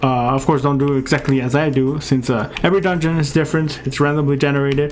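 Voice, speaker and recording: Against noticeable background noise and audible room echo, a man with a fairly high pitch talks at a very fast pace with fairly even intonation. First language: not English. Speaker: gaming youtuber. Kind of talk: tutorial gameplay commentary. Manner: casual, many filler words.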